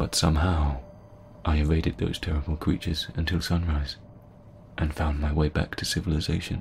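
A man speaks with a very deep, low pitch and vocal fry. His pace is fairly quick and his intonation fairly even. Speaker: horror story narrator. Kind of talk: first-person horror story narration, scripted and told as a personal tale. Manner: hushed, suspenseful, building tension with pauses.

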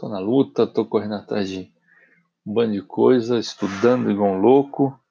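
Ordinary pitch variation and a dark, mellow tone in a man's medium-pitched voice. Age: 30s. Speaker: podcast host. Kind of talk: solo motivational monologue. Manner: casual and animated.

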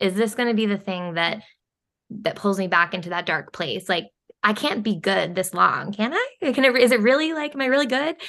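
A woman with an unremarkable speaking voice talks at a fairly quick pace, her intonation lively. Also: fairly high pitch for a woman. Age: 30s. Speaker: health and wellness coach. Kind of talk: casual chat.

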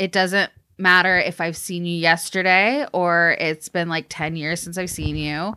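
An ordinary speaking voice from a woman, medium in pitch, at a fairly slow pace. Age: 30s. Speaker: music industry professional. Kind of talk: casual chat.

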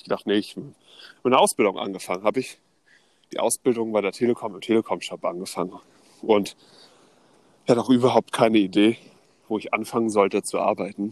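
A man's fairly low voice with fairly even intonation at a very fast pace, broken by long, frequent pauses, in a dry, close sound with no echo. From northern Germany (Neubrandenburg, Mecklenburg). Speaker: podcast co-host. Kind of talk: casual storytelling chat.

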